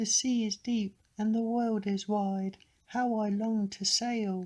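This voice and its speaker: The speaker uses a put-on character voice with a fairly high pitch at a fairly slow pace. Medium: read story.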